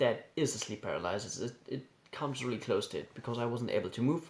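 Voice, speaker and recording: A man's medium-pitched voice with a German accent, moderate pace and ordinary pitch variation. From Germany. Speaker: YouTuber sharing personal experiences. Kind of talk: personal storytelling. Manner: halting, with repetitions.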